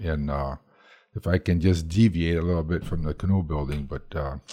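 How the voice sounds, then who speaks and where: A man's very deep, low voice, dark and mellow in tone and somewhat breathy, at a moderate pace with ordinary pitch variation, in a dry, close sound with no echo. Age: 70s. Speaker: canoe building instructor. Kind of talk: interview.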